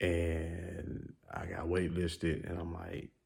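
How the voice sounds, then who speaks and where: Quiet and somewhat breathy, a man with an American accent speaks in a very deep, low pitch with a relaxed tone and monotone, flat intonation. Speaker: sneaker YouTuber. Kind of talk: casual vlog. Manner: casual, relaxed; low quiet voice.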